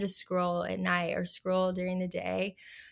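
A woman at medium pitch uses a normal speaking voice at a moderate pace, recorded very cleanly over a silent background. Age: 20s. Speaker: flower farmer and wedding florist. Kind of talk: casual interview chat.

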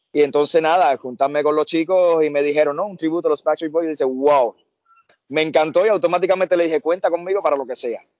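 Fairly high for a man, his voice races along at a very fast pace. The intonation stays fairly even. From Brazil and Cuba. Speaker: tribute band singer. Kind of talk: casual chat. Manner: quiet.

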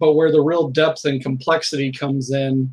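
With an American accent, a man uses an unremarkable speaking voice, fairly high in pitch, with fairly even intonation at a moderate pace. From US Midwest (Southern Illinois, Indiana). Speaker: game designer. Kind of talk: casual interview.

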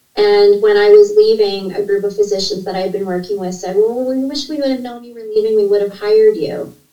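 With a Canadian accent, a woman talks at a fairly quick pace with hardly any pauses, her medium pitch showing ordinary variation while her loudness swings widely. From Canada (Ontario). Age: 50s. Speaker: registered nurse and leadership coach. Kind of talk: interview conversation. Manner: talkative, fast-flowing.

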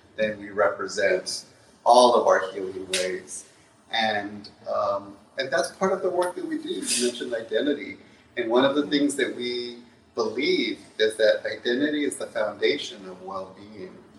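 A man speaks at a moderate pace with big swings in loudness, and noticeable background noise is present. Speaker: psychologist. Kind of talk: panel discussion. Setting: stage with audience.

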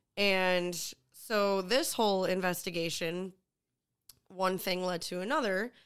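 An unremarkable speaking voice with an American accent talks at a fairly slow pace with ordinary pitch variation, in a very clean recording with a silent background. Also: woman, medium pitch for a woman. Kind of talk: casual comedy podcast chat. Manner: laughing, playful.

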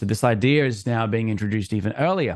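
A man's fairly low-pitched voice in an Australian accent, at a moderate pace with ordinary pitch variation. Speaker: musician and content creator. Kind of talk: podcast interview.

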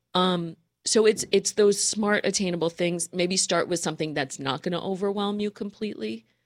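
A woman in a normal speaking voice, medium pitch, ordinary pitch variation and moderate pace, in a very clean recording with a silent background. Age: 40s. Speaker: professional organizer. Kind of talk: casual chat.

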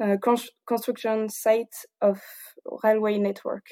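In a strong southern French accent, a woman speaks at medium pitch with a dark, mellow tone. Her intonation is monotone and flat, and the recording is very clean with a silent background. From southern France, Toulouse. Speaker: engineer. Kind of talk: casual interview. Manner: halting, many fillers; frequent laughter.

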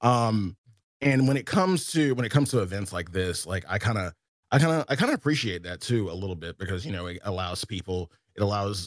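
Talking very fast, a man with a Southern US accent uses a very deep, low pitch and ordinary pitch variation. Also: dry, close sound with no echo. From US South. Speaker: game streamer. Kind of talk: casual chat.

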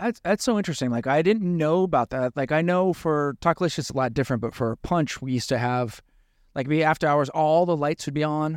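Talking at a fairly quick pace, a man with a normal speaking voice and fairly high pitch shows ordinary pitch variation, the sound dry and close with no echo on a very clean recording with a silent background. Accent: General American. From US. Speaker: bartender and podcast host. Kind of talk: casual chat podcast. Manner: jokey, playful.

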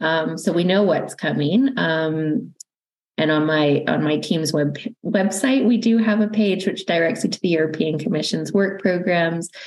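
A woman with a Canadian accent has an unremarkable speaking voice at a fairly low pitch. She moves at a moderate pace with ordinary pitch variation. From Canada. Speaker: university research funding manager. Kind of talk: interview.

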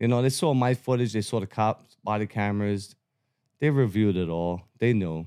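With a Brooklyn accent, a man speaks at a moderate pace in a fairly low pitch, his tone dark and mellow with ordinary pitch variation, in a very clean recording with a silent background. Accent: New York (Brooklyn). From Brooklyn, New York City (Bensonhurst). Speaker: First Amendment auditor. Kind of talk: casual interview.

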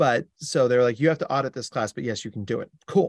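This very clean recording has a silent background and a dry, close sound with no echo, carrying a voice with an American accent. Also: man. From US Northeast (New Jersey). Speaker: clinical psychologist. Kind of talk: interview. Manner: animated.

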